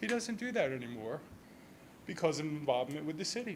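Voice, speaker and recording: With an American accent, a man speaks at a fairly high pitch with very wide pitch swings, and audible room echo fills the recording. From southern New Jersey, Millville. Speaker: resident speaking at public comment. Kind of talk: public comment at a city council meeting. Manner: halting, many repeated words.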